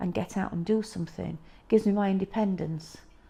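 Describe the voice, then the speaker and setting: With a Yorkshire accent, the dark, mellow voice rushes along at a very fast pace with fairly even intonation. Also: woman. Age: 60s. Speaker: patient sharing illness story. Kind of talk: testimony. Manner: halting.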